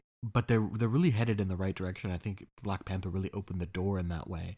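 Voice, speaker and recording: In a normal speaking voice with an American accent and ordinary pitch variation, the speaker is heard in a very clean recording with a silent background. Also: man. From US. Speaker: podcast co-host. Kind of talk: casual chat.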